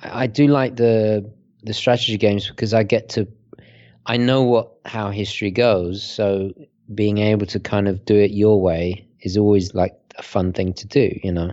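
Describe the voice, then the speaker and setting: A man with a British accent speaks at a fairly slow pace. His voice is fairly low in pitch. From Britain. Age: 30s. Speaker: watch reviewer. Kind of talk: casual chat. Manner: halting, frequent repetitions.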